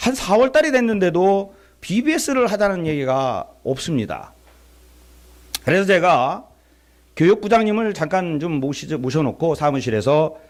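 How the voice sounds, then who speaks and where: On a very clean recording with a silent background, a man in a Chungcheong accent speaks fairly slowly with long, frequent pauses. His high-pitched voice is animated, with very wide pitch swings. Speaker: visiting pastor at revival meeting. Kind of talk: sermon. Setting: church. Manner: animated storytelling.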